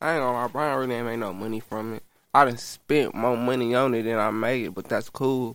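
In a very clean recording with a silent background, a man with an American accent and an ordinary speaking voice talks at a fairly quick pace, with medium pitch and fairly even intonation. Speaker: rapper. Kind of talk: casual interview.

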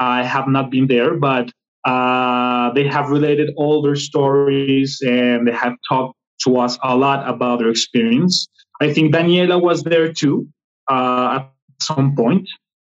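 A man's voice in a Spanish accent, fairly slow in pace, with fairly even intonation and very even loudness. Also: medium pitch for a man. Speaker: film editor and filmmaker. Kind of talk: interview conversation.

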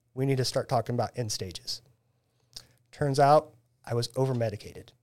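A man with an American accent and a plain, everyday voice speaks at a fairly quick pace, with medium pitch. His intonation is fairly even, in a very clean recording with a silent background. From Central Illinois, US Midwest. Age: 40s. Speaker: band photographer. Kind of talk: casual chat.

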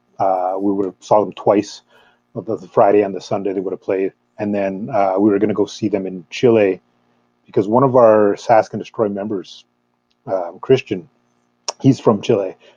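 With a Canadian accent, a man speaks at a moderate pace and fairly low pitch, in a dark, mellow tone with monotone, flat intonation and long, frequent pauses, the sound dry and close with no echo. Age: 30s. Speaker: metal fan club member. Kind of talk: casual chat. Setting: video call.

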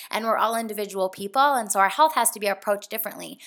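The recording is very clean, with a silent background. A woman speaks in an animated tone at a fairly high pitch. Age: 20s. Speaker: podcast host, personal trainer and health coach. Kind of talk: casual monologue.

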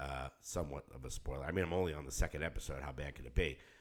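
Lively intonation and vocal fry mark a man's fairly quick speech. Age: 50s. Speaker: podcast co-host and musician. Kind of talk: casual chat. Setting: studio.

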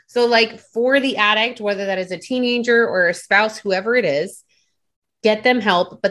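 An ordinary speaking voice from a woman with an American accent, at a moderate pace and a fairly high pitch with ordinary pitch variation. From Delaware, US. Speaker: life coach. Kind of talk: interview.

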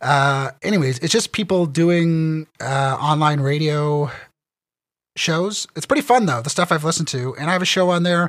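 A man's fairly high voice with a Canadian accent, an unremarkable speaking voice, ordinary pitch variation and a moderate pace. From Ontario, Canada. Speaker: writer and critic. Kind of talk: casual chat.

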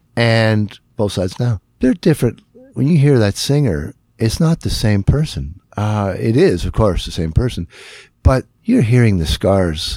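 In a northern Ontario accent, a man speaks fairly slowly at a medium pitch with very wide pitch swings and a dark, mellow tone, in a dry, close sound with no echo. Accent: Canadian (northern Ontario). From northern Ontario, Canada. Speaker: guitarist and singer. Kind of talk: casual interview. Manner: halting, many fillers and restarts.

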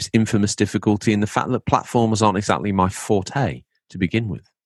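In an English accent, the speaker talks at a very fast pace with an animated tone, the sound dry and close with no echo. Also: man. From England. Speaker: podcast host. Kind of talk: casual chat. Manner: animated, jokey.

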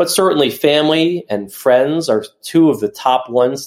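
A man's normal speaking voice carries lively intonation at a moderate pace. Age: 40s. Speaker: author and physique competitor. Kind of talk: interview.

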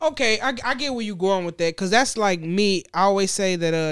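This woman has an ordinary speaking voice with an American accent, lively intonation, and a fairly quick pace. The recording is very clean, with a silent background. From Gary, Indiana (US Midwest). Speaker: food TikTok creator. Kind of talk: casual chat.

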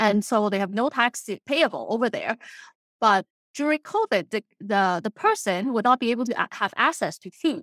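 On a very clean recording with a silent background and a dry, close sound with no echo, a woman with a normal speaking voice speaks at a moderate pace, fairly high in pitch and lively in intonation. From immigrated to Canada in late teens. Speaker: accountant and real estate investor. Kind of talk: interview.

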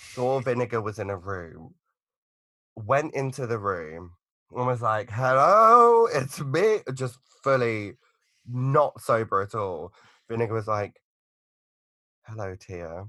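A man speaks at a very slow pace with long, frequent pauses, his medium-pitched voice bright and sharp in tone with ordinary pitch variation over a quiet background. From Essex, England. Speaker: drag queen performer. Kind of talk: casual interview chat.

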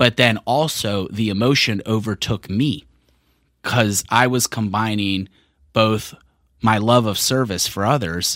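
A man with an American accent has an unremarkable speaking voice and a fairly slow pace. The recording is very clean with a silent background. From Richmond, Virginia. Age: 40s. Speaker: event director. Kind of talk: casual chat.

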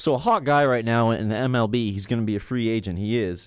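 A man with an American accent, a plain, everyday voice and fairly low pitch at a moderate pace, on a very clean recording with a silent background. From Maine, US Northeast. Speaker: sports podcast co-host. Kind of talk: casual sports talk.

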